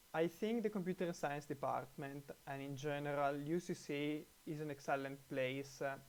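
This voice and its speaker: A man speaks in an Italian accent. His pitch is fairly high, with ordinary pitch variation. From Italy. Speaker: computer science researcher. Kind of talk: testimonial. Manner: halting, many fillers.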